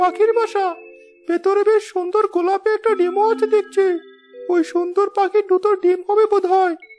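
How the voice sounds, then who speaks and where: This is a cartoonish character voice pitched extremely high. It moves along at a moderate pace. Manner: deferential.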